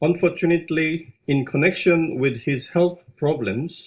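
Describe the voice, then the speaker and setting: Speaking at a fairly slow pace, a man with a Korean accent sounds somewhat breathy. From South Korea. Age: 50s. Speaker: business owner. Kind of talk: corporate presentation. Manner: halting.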